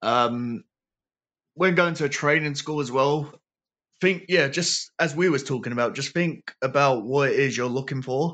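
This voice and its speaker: Against a quiet background, a man speaks with a London accent. His pitch is fairly high and his pace moderate. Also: ordinary pitch variation. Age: 20s. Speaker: professional wrestler. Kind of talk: casual chat.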